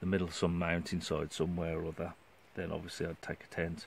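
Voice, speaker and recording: This man's pitch is very deep and low. His voice carries vocal fry. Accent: West Midlands. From Shrewsbury, Shropshire, England. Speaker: outdoors vlogger. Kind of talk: casual vlog monologue. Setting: outdoors in a forest, hammock under tarp. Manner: hesitant, many fillers.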